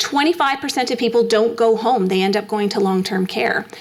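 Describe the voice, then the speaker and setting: A woman with a Canadian accent speaks at a fairly quick pace in a fairly high pitch, with ordinary pitch variation and noticeable background noise. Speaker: endocrinologist giving a health talk. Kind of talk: public health lecture. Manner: fast; animated.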